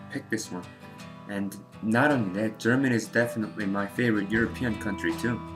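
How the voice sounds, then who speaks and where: Music plays behind a man speaking with a fairly low pitch. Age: 20s. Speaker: book reviewer. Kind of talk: casual book review to camera.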